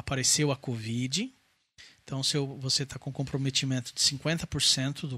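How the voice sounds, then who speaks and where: Bright and sharp in tone, a man speaks in a fairly high pitch. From Brazil, Santo André (São Paulo). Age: 40s. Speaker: COVID survivor. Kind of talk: testimony.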